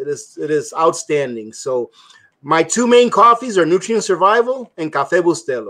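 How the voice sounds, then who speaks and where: With a slight Spanish accent, a man talks at a moderate pace in a high, bright, sharp voice that makes very wide pitch swings. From immigrated to US at age three from a Spanish-speaking country. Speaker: prepping guest. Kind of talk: casual chat. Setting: live stream.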